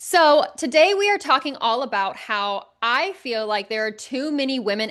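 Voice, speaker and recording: A woman speaks loudly in an animated, energetic way with lively intonation. Her tone is bright and sharp, and the background is quiet. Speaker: podcast host and life coach. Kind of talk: casual solo podcast monologue.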